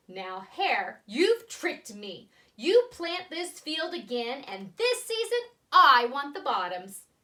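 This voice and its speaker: Projecting loudly in a put-on character voice, a woman growls at a fairly slow pace, her high pitch swinging very widely. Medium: read story. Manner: slow, grumbling.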